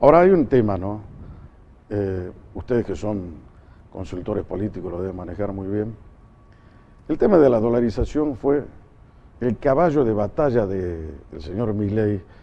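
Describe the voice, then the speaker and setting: A man of fairly low pitch with lively intonation and big swings in loudness, at a moderate pace broken by long, frequent pauses. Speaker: talk show host, journalist. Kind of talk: political interview.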